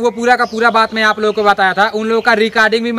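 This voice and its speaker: A man uses a raised, projected voice at a fairly quick pace. His intonation stays monotone and flat. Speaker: fitness vlogger for army recruitment. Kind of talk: casual vlog chat. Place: street.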